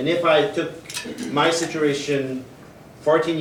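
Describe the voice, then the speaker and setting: A man talks at a moderate pace in a monotone, flat intonation. Audible room echo and noticeable background noise surround him. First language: French. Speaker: athletics coach. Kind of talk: conference presentation. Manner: halting.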